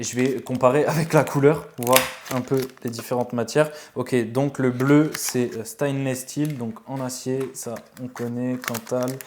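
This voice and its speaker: Noticeable background noise sits under a man speaking at a fairly slow pace, with a medium pitch and monotone, flat intonation. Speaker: vape reviewer, YouTuber. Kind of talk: casual product review, unboxing. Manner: hesitant, many fillers (euh).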